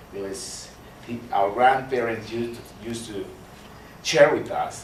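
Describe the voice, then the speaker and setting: In a Honduran accent, a man speaks at medium pitch, with audible room echo and noticeable background noise. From Honduras, Garifuna community. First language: Spanish. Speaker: doctor giving a guest talk. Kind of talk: lecture. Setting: university hall with audience. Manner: halting.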